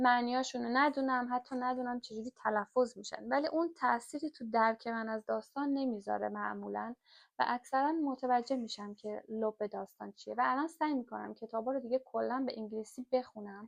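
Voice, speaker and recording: Her pitch is high. The woman keeps her intonation fairly even. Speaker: book reader and explainer. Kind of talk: reading aloud with commentary. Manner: hesitant, with fillers.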